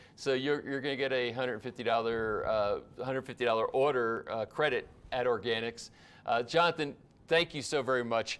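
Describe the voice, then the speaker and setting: The man's intonation stays fairly even at a medium pitch as he talks fairly quickly. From US East Coast. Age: 60s. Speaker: livestream host. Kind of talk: live stream chat. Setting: live broadcast. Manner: fast; halting.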